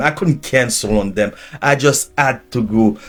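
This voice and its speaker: A man speaks with a Haitian accent. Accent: Haitian Creole-accented English. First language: Haitian Creole. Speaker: preacher and teacher. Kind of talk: sermon.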